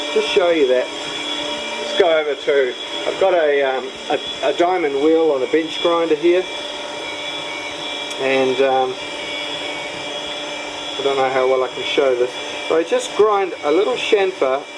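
Noticeable background noise accompanies speech delivered very slowly. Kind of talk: tutorial. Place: workshop. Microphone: phone near.

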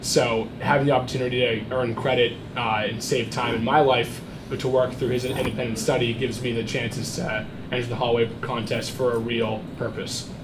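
At a moderate pace, the speaker talks in a monotone with flat intonation over noticeable background noise. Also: man. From New Hampshire, North Conway; New Hampshire. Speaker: student entrepreneur; audience member. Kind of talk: audience pitch. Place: meeting room. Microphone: camera far.

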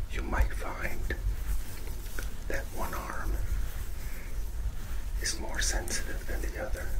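A soft-spoken man talks at a very slow pace. Loud background noise runs behind him. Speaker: touch therapy instructor. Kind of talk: tutorial. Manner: soft, hushed ASMR voice. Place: studio.

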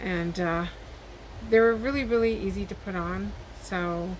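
A woman is speaking. Light noise sits in the background. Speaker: haul vlogger. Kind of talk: casual vlog chat. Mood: friendly, upbeat. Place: home room. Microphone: webcam.

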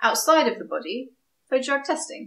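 Speaking at a fairly quick pace, a woman with a southern English accent has a high pitch. Audible room echo surrounds her voice. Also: quiet background. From southeast England, Kent. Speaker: scientist and science video creator; science video creator. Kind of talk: vlog monologue. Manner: casual, upbeat. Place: home room.

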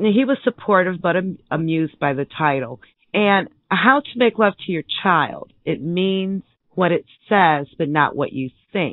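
Speaking at a fairly slow pace, a woman uses lively intonation. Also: medium pitch for a woman. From Michigan. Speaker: author and parent. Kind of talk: radio interview.

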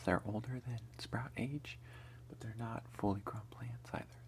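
Someone soft-spoken whispers at a very slow pace in a relaxed tone, with light background noise behind. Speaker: ASMR creator, home gardener. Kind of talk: casual talk to camera, whisper eating ASMR. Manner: soft-spoken, relaxed, whispered. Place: home room. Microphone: phone near.

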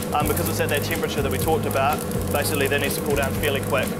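Clear music sits in the background while a man talks at a very fast pace. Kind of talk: tutorial. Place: factory.

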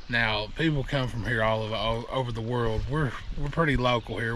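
A man is heard in a dry sound with no echo over light background noise. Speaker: kayaking vlogger. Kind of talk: casual vlog chat. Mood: mildly annoyed at crowds. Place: waterside. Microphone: phone near.

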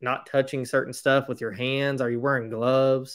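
With an American accent, a man talks at medium pitch in a monotone, flat intonation. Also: quiet background. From Indiana, US. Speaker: podcast host. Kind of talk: interview. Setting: video call. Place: home room. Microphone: webcam.

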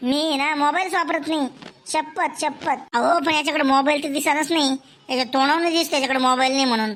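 A female-sounding voice in a high pitch performs a cartoonish character voice.

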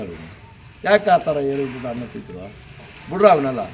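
This man's voice sits fairly high and moves in very wide pitch swings. Noticeable background noise and audible room echo come through. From Karnataka, Ramanagara district. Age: old. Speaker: stud bull keeper, farmer. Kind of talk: interview.

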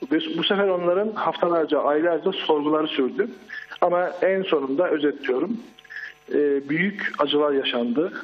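Noticeable background noise sits behind a man with a fairly high pitch. He talks at a moderate pace with very even loudness. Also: ordinary pitch variation. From Turkey, Çorum province. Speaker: eyewitness caller. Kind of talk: live phone-in testimony. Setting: phone call.

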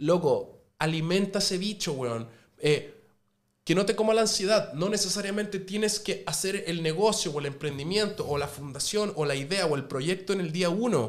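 A man with a high voice speaks at a moderate pace, his pitch varying in an ordinary way. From Chile, Viña del Mar; Chile. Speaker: restaurant owner and TV cook; podcast guest. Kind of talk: casual chat. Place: studio. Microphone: studio mic.

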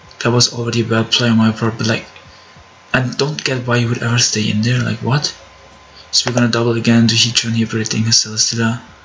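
Over noticeable background noise, a man speaks at a very fast pace in a monotone, flat intonation at a medium pitch. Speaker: gaming youtuber. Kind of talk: live gameplay commentary.

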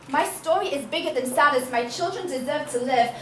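A woman with a raised, projected voice speaks at a very fast pace with lively intonation amid noticeable background noise. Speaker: spoken word poet. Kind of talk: spoken word poetry performance. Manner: powerful, impassioned.

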